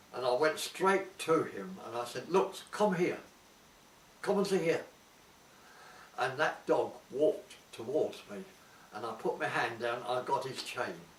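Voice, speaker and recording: A man's fairly high voice with very wide pitch swings, a fairly slow pace and long, frequent pauses over noticeable background noise. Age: old. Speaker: war veteran. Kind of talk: interview answer.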